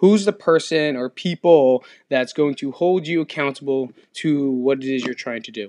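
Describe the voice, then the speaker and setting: Recorded dry and close with no echo, a man with a fairly high pitch and a dark, mellow tone speaks at a moderate pace, with ordinary pitch variation and big swings in loudness. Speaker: fitness podcast host. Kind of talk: solo podcast monologue. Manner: casual, rambling with repetitions.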